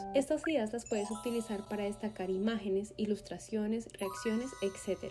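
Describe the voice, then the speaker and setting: Music plays in the background as a woman speaks at a fairly quick pace in a fairly high pitch, her intonation lively. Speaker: video editing tutor. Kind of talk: software tutorial narration.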